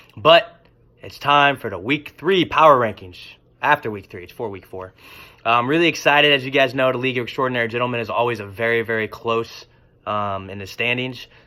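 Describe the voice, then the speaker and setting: The tone is bright and sharp, delivered at a fairly quick pace. Loudness swings widely throughout. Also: man, medium pitch for a man, ordinary pitch variation. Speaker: fantasy football league commentator. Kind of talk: casual video commentary. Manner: hesitant, many fillers.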